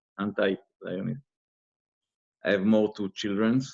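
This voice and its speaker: A man speaks at a very slow pace with a non-native accent. His fairly low voice stays monotone and flat. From Israel. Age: 50s. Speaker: interviewee, former investigator. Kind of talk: interview. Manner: halting.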